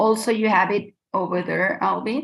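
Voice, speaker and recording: A woman speaks at a moderate pace. Her voice carries vocal fry. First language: Spanish. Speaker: textile designer and professor. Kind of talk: presentation talk.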